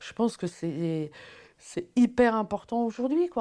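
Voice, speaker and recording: The voice has a dark, mellow tone and lively intonation on a very clean recording with a silent background. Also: woman. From France, Paris. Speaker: film producer. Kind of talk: interview. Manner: hesitant, many fillers.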